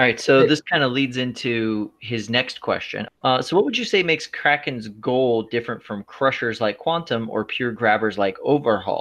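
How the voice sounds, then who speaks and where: With an American accent and a normal speaking voice, a man talks at a moderate pace and medium pitch, using ordinary pitch variation and hardly any pauses. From Florida. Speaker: podcast co-host. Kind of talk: casual chat.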